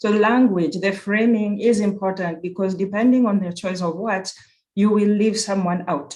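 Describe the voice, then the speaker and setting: Speaks with a Kenyan accent. The pace is moderate. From Kenya (Nairobi). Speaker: university program director. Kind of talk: conference presentation. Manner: halting with self-corrections.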